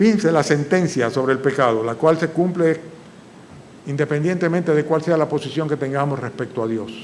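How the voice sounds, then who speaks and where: Over noticeable background noise and audible room echo, a man talks at a fairly quick pace with a fairly high pitch and ordinary pitch variation. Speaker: pastor. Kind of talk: sermon. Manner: fast.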